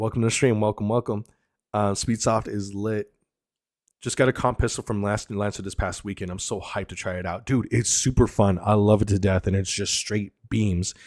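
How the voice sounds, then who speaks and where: In a very clean recording with a silent background, a man uses an ordinary speaking voice, fairly low in pitch with fairly even intonation, at a moderate pace. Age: 30s. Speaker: airsoft streamer and content creator. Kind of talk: casual live stream chat. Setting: live stream. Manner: casual, filler-heavy.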